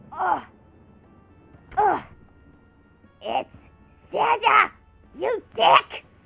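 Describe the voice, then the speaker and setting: An extremely high-pitched put-on character voice plays over faint music in the background. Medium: role play. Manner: exasperated, bossy.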